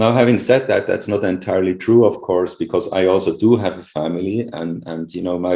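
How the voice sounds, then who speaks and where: A man speaks with a non-native accent and a fairly low pitch. His tone is dark and mellow. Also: quiet background. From Switzerland (rural). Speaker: professor. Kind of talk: interview. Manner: halting.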